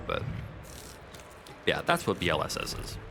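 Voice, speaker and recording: Noticeable noise sits under a man's fairly quick delivery. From New England. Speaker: speedrun commentator. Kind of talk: live commentary. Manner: halting, many fillers.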